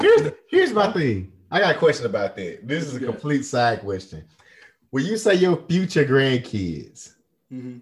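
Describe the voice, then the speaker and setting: A man with a fairly high pitch, very wide pitch swings and vocal fry, an animated tone, big swings in loudness, a moderate pace and an American accent. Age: 30s. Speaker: podcast host. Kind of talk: casual chat.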